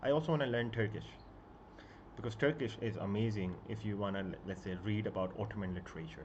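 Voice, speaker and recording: A man talks at a moderate pace with lively intonation and a somewhat breathy sound. Room echo is audible around him. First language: Punjabi and Urdu. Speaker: book YouTuber. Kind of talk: casual live stream chat. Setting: live stream at home. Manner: halting, many fillers.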